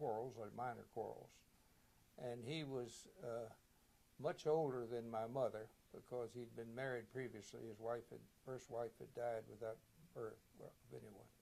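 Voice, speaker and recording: A man speaks at a moderate pace with a medium pitch and a dark, mellow tone. His intonation stays fairly even, broken by long, frequent pauses. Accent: Virginia. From Virginia, Shenandoah Valley. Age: 90. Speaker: war veteran. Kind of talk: oral history interview. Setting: reunion, recorded video interview.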